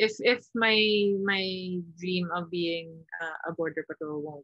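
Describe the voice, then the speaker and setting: The voice has ordinary pitch variation over a quiet background, with a dry sound and no echo. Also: woman. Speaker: interview guest. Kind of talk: interview answer. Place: home room. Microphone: video call.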